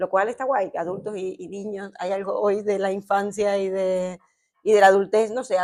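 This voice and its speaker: Over a quiet background, a woman speaks at a medium pitch and moderate pace in a monotone, flat intonation. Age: 30s. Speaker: psychologist and psychoanalyst, podcast co-host. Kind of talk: live discussion before audience. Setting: stage with live audience in a bar.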